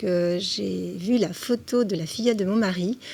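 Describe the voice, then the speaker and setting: At a medium pitch and a moderate pace, a woman talks with a plain, everyday voice. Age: 60s. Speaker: senior model. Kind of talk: TV interview.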